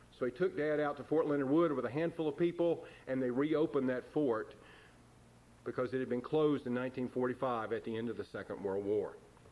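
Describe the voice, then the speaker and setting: At a fairly quick pace, a man with an American accent and a fairly high pitch uses an ordinary speaking voice with ordinary pitch variation. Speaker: minister giving a eulogy for his father. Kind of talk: eulogy at a funeral service.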